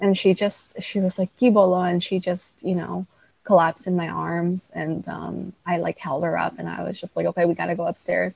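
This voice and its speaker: A woman speaks with a New York accent at a moderate pace. The sound is dry and close, with no echo. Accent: New York American. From Queens, New York. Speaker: writer and guest. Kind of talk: interview conversation.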